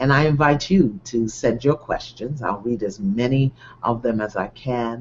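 A man talks at a fairly slow pace and medium pitch. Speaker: online show host. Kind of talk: live talk to online audience. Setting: live video stream. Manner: loud.

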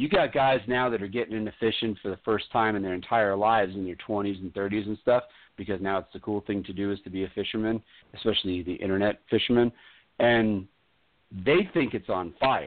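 His pitch shifts in an ordinary way as this man talks in a normal speaking voice. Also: fairly low pitch for a man, fairly quick pace. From Florida (Brevard County), born in New York. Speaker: radio host. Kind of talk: casual chat.

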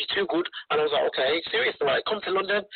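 Over noticeable background noise, a man with a Birmingham accent talks at a very fast pace. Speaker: rapper. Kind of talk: casual chat. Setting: phone call.

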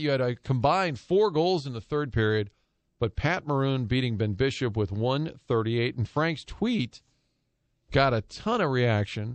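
Talking at a fairly slow pace, a man speaks with an American accent. His medium pitch makes very wide swings. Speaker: sports radio host. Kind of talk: sports talk radio commentary. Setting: radio studio. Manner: animated, chatty, riffing with jokes and laughter.

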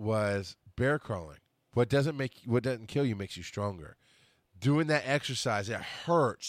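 Recorded very cleanly over a silent background, a man with an ordinary speaking voice talks at a fairly slow pace, at a medium pitch, with ordinary pitch variation. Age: 40s. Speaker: podcast host. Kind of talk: casual monologue reading birthday notes aloud. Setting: live broadcast on Facebook at a microphone.

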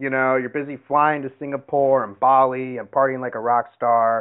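A man's normal speaking voice at medium pitch, in an American accent, at a moderate pace. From US, Seattle. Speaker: MMA podcast host and gym coach. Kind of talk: casual interview; sponsor read. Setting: live call-in show.

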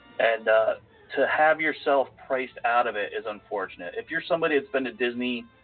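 A man at medium pitch talks at a fairly quick pace with music in the background. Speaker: podcast host.

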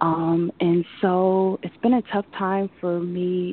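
In an American accent, a woman speaks at a very slow pace with a fairly low pitch. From New York City. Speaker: caller seeking psychic reading. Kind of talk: phone-in psychic reading. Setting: phone call. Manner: halting.

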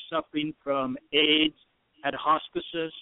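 Speaking with a Puerto Rican accent, a man with a fairly high voice talks at a fairly slow pace in a monotone, flat intonation. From Puerto Rico. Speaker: insurance broker, page creator. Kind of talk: radio interview. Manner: halting.

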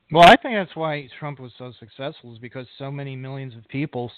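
A man with an unremarkable speaking voice, medium pitch and an American accent, at a fairly quick pace. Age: 50s. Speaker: podcast host. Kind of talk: podcast interview; scripted intro.

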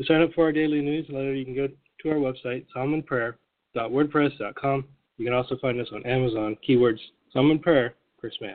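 A man speaks at a fairly quick pace with fairly even intonation. He has an unremarkable speaking voice. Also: medium pitch for a man. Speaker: daily prayer host and former bookstore owner. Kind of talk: fervent prayer, spoken intimately to God. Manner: earnest, heartfelt, steady devotional delivery.

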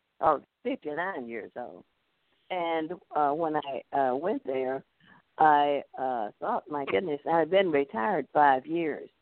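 A woman in a Southern US accent, very deep and low in pitch, with lively intonation at a very slow pace and long, frequent pauses. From US South, North Louisiana. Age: 80s. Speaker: retired school principal. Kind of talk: interview.

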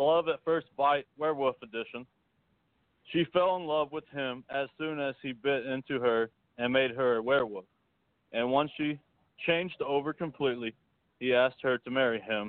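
Speaking at a moderate pace with long, frequent pauses, the man has a fairly high pitch and ordinary pitch variation. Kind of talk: reading poetry aloud. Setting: phone call.

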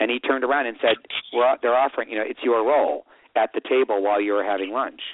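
A man uses an ordinary speaking voice with ordinary pitch variation. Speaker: writer-director. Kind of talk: radio interview, casual chat.

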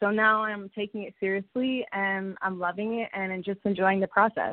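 A woman's medium-pitched voice with a Toronto accent, monotone and flat, at a fairly quick pace. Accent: Canadian (Toronto). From Toronto, Canada. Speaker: singer and dancer. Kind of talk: interview.

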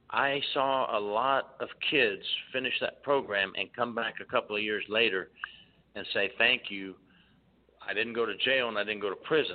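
The speech moves at a moderate pace with fairly even intonation and long, frequent pauses. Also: man, medium pitch for a man. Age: 50s. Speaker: former prison inspector and author. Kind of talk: radio interview.

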